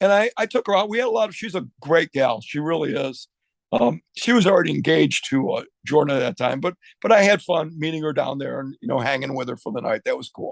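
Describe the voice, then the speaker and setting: Talking very fast with lively intonation and vocal fry, a man with a fairly high voice comes through in a dry, close recording that has no echo. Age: 60s. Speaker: music industry veteran and guitar store owner. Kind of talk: casual interview chat.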